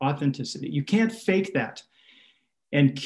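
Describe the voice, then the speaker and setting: A man with an American accent, somewhat breathy, fairly high in pitch, with lively intonation. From Minnesota. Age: 60s. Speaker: pastor. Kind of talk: casual interview.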